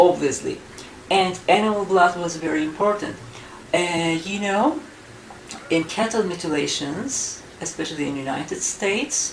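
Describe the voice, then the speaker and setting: A woman with a fairly low pitch uses lively intonation at a moderate pace, with long, frequent pauses. Noticeable background noise and audible room echo surround her. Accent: Turkish. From Turkey. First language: Turkish. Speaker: UFO researcher and author. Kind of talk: interview. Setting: in Istanbul, Turkey.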